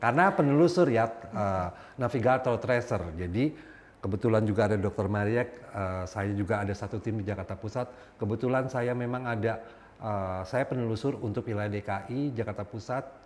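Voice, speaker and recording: Against noticeable background noise, a man of medium pitch talks at a fairly quick pace with ordinary pitch variation. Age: 50s. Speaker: HIV outreach worker living with HIV. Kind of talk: talk show interview.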